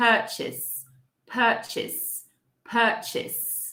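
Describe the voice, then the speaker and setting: Audible room echo surrounds a woman speaking with a British accent. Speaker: English teacher. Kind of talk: live online pronunciation lesson. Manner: slow, repeating words for clarity.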